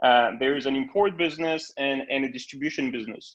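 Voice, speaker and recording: A man with a French accent and a fairly high pitch. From France, Bordeaux countryside. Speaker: spirits importer. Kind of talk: virtual tasting talk. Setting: video call. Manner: halting, many fillers.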